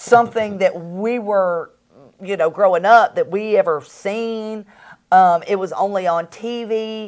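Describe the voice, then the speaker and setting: Someone with a Southern US accent speaks at a fairly slow pace. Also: woman, very clean recording, silent background. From US South. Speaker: real estate investor and coach, co-host. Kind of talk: casual promotional chat. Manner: animated.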